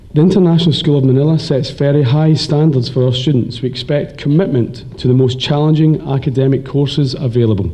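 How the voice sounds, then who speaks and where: Over noticeable background noise and audible room echo, a man with a slight Scottish accent and fairly high pitch talks at a very fast pace with hardly any pauses, very even loudness and ordinary pitch variation. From Scotland. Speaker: teacher. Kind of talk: graduation speech.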